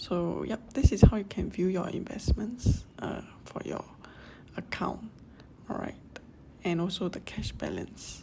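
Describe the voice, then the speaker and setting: Whispering in a Singaporean accent, the speaker moves at a fairly slow pace with long, frequent pauses. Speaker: personal finance YouTuber. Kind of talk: casual app tutorial voice-over.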